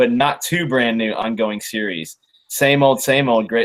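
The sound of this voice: The speaker reads in an unforced reading voice with lively intonation. The background is quiet.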